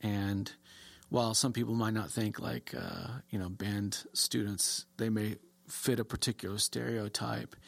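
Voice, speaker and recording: A man speaks fairly slowly in a fairly low voice with ordinary pitch variation. The recording is very clean with a silent background. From US South, Texas (DeSoto, near Dallas). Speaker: university band director and music professor. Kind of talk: interview. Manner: halting, many fillers.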